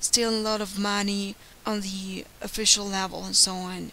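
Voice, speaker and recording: A woman with a Ukrainian accent, at a fairly slow pace, over noticeable background noise. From Ukraine. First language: Ukrainian or Russian. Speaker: YouTuber. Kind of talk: monologue. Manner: earnest.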